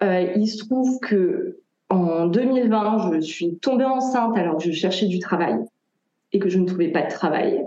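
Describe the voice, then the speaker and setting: Audible room echo surrounds this woman's voice. Her tone is dark and mellow, at a medium pitch. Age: 30s. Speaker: tarot reader. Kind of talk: interview.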